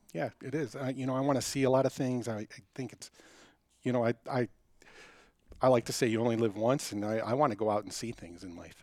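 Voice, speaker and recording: A man with an American accent talks at a very fast pace, with ordinary pitch variation. His loudness swings a lot, and he takes long, frequent pauses. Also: medium pitch for a man. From US Midwest (Detroit). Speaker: hunter, club member. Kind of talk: casual interview.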